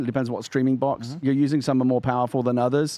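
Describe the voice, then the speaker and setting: This man has a dark, mellow tone at a medium pitch. He speaks at a very fast pace. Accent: British. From UK. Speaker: podcast co-host. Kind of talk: casual chat.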